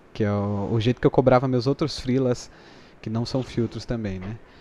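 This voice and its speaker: A man's dark, mellow voice at medium pitch, moderate in pace, with ordinary pitch variation. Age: 20s. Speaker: YouTuber and filter creator. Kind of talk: casual chat.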